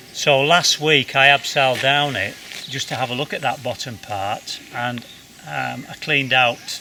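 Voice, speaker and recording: Over noticeable background noise, a man talks at a fairly slow pace and a medium pitch. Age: 70s. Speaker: rock climber. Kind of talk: casual vlog talk to camera. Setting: outdoors.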